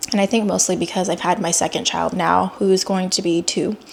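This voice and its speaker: Over noticeable background noise, a woman at a medium pitch speaks at a fairly quick pace. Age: 30s. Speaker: vlogger and pediatric oncology nurse. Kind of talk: personal vlog. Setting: self-filmed on camera. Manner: unscripted, conversational with fillers.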